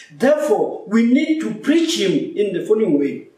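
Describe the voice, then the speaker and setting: Audible room echo around a man's speech. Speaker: preacher or lecturer. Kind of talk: lecture. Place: office.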